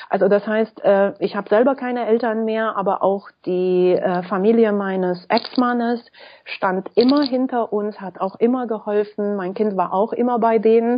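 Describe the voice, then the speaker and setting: Fairly even intonation from a woman at a fairly high pitch and a moderate pace. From Romania. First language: Romanian and French (speaking German). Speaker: school founder and blogger. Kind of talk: interview.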